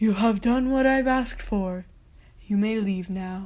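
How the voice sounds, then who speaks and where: Using a put-on character voice, a woman speaks with a fairly high pitch. Her pace is moderate and her pitch variation is ordinary. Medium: read story.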